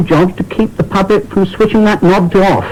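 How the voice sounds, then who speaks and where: A man talks at a moderate pace with a high pitch. Noticeable background noise can be heard. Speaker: sports commentator. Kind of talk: anecdotal radio interview. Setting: muffled, distant recording.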